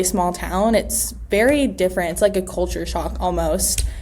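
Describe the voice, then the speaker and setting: A woman is speaking. Noticeable background noise and audible room echo surround her voice. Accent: American. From US West Coast, Los Angeles. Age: 20s. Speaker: real estate agent. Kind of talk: interview. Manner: hesitant, many fillers.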